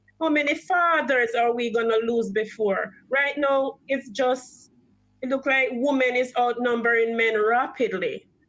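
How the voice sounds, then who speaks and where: Over background music, a woman speaks fairly slowly at a high pitch with ordinary pitch variation. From Jamaica. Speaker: caller on a community radio show. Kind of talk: discussion on a call-in show. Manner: emphatic, animated.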